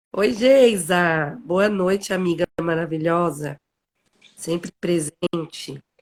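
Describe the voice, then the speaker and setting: A woman speaks at a very slow pace in a fairly low pitch with ordinary pitch variation. The sound is dry and close, with no echo. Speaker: live stream host, human development coach. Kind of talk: casual live stream chat. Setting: online live stream. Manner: animated.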